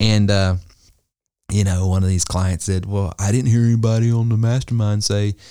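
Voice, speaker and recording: A man's fairly low voice with an American accent, at a moderate pace and with fairly even intonation, in a very clean recording with a silent background and a dry, close sound with no echo. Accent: Southern US, somewhat toned down. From US South. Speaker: business coach and podcast host. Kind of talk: casual business podcast chat.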